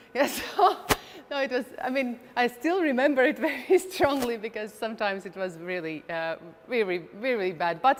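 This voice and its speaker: A speaker with a Latvian accent. The pitch swings very widely. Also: woman, high pitch for a woman, moderate pace. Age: 40s. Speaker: chess grandmaster. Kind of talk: presentation. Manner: halting, many fillers and repeats.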